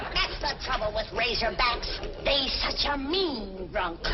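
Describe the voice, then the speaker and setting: Loud background noise sits behind a woman doing a put-on character voice. Her pitch is high and her pace fairly slow. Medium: short film. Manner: brash, scolding.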